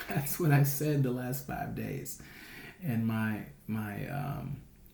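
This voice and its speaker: A quiet man's voice of medium pitch and ordinary variation, at a very slow pace, with audible room echo and noticeable background noise. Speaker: day trader. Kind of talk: weekly trading recap vlog. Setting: home recording at night. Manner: hushed, quiet; casual, rambling with fillers.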